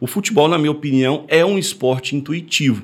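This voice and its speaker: A normal speaking voice at a fairly quick pace, full of lively intonation. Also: man. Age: 30s. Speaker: sports trading educator. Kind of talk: podcast explainer.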